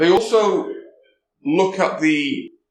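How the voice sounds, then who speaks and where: This man speaks with a slight Welsh accent. Audible room echo surrounds his voice. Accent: slight Welsh lilt. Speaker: security conference speaker. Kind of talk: conference talk. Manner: casual, conversational.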